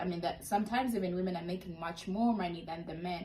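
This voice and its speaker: A woman talks at a medium pitch. Noticeable background noise runs behind her. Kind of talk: interview host. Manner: upbeat.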